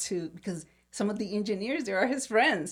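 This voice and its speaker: A woman speaks with a Puerto Rican accent and ordinary pitch variation. The recording is very clean, with a silent background. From Puerto Rico. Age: 60s. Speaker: podcast host. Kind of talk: casual chat. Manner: halting, many fillers and repeated words.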